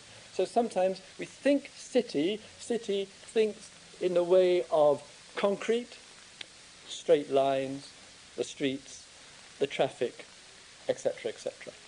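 Against noticeable background noise, someone speaks at a very slow pace with long, frequent pauses. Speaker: meditation teacher. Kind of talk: dharma talk with poetry reading. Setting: retreat center evening talk with audience. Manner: measured, slow, reflective; rhythmic, incantatory poem reading.

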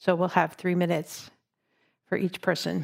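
Flat, monotone speech at a fairly slow pace comes through a very clean recording with a silent background. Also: woman. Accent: American. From North Shore, Massachusetts. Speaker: meditation teacher. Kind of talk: dharma talk on a meditation retreat.

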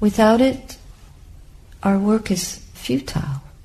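Very slowly, a woman speaks in a dark, mellow tone that is somewhat breathy. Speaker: Buddhist nun giving a dharma talk. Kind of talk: dharma talk, calm and reflective teaching to a meditation group.

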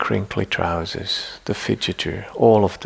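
A man speaks at a fairly low pitch, with vocal fry. His tone is soothing and gentle. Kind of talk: guided meditation. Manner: slow, soft-spoken, soothing, with long pauses; gentle, deliberate, formal, reflective.

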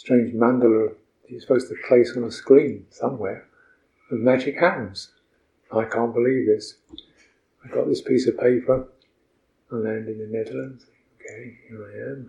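Speaking at a moderate pace with long, frequent pauses, a man with a medium-pitched, somewhat breathy voice and a dark, mellow tone keeps a flat, monotone intonation while his loudness swings widely. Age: 70s. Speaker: Buddhist monk and meditation teacher. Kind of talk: dharma talk on retreat. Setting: meditation retreat center.

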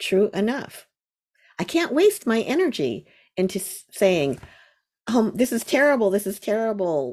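A woman with an American accent speaks at a moderate pace, her pitch swinging very widely. Vocal fry runs through her voice. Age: 60s. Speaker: meditation teacher. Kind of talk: dharma talk. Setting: video call.

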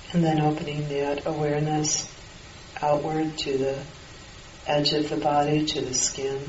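Through noticeable background noise, a woman speaks with a very deep, low pitch and a calm, gentle tone, her intonation monotone and flat, with long, frequent pauses. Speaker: meditation teacher. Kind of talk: guided loving-kindness meditation. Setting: retreat hall with a group of participants. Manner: slow, calm, gentle, with long pauses; soft-spoken, soothing, unhurried.

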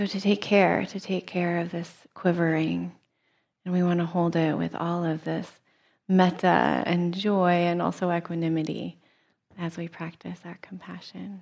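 A woman speaks in a gentle tone with a fairly low pitch and a monotone, flat intonation. The recording is very clean, with a silent background. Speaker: meditation teacher. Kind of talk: dharma talk with guided meditation. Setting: retreat meditation hall. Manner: soft, slow, gentle guiding voice with long pauses; warm, reflective, conversational when teaching.

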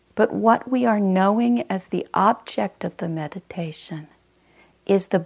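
This woman has a normal speaking voice at medium pitch, talking at a fairly slow pace with ordinary pitch variation in a very clean recording with a silent background. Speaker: meditation teacher. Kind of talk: guided meditation; Dharma talk, then guided meditation. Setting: meditation retreat center. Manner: calm, slow and gentle, with long pauses; soft-spoken, soothing, steady.

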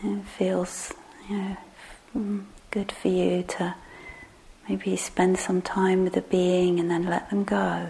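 In a gentle tone, a woman speaks at a very slow pace with long, frequent pauses over noticeable background noise. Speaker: meditation teacher. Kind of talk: guided meditation. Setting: meditation hall with live group. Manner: voice drops quiet when guiding; slow, gentle, hesitant.

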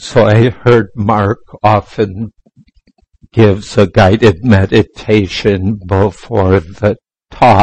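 A man speaks very slowly in a fairly low, somewhat breathy voice. His intonation is monotone and flat, and the sound is dry and close with no echo. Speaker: meditation teacher. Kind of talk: guided meditation. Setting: meditation center, live in a room with a group. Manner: slow, soft-spoken, calm and gentle with long pauses; patient, instructive, inviting and unhurried.

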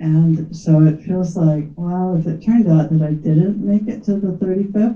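The voice is somewhat breathy and dark, mellow in tone, moving at a moderate pace with hardly any pauses and ordinary pitch variation. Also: woman, fairly low pitch for a woman. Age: old. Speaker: founding meditation teacher. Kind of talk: heartfelt speech at community gathering.

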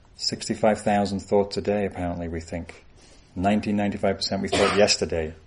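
Intonation stays fairly even as the speaker reads aloud in a natural voice.

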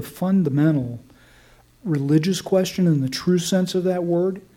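A man's high-pitched voice at a fairly slow pace, with noticeable background noise. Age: 60s. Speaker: meditation teacher. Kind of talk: dharma talk. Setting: meditation hall with audience. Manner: relaxed, frequent filler words.

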